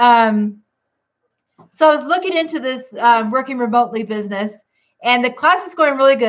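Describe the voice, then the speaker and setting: A woman speaks loudly at a moderate pace, her high pitch moving with ordinary variation. The background is quiet. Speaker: keto vlogger. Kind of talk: casual livestream chat.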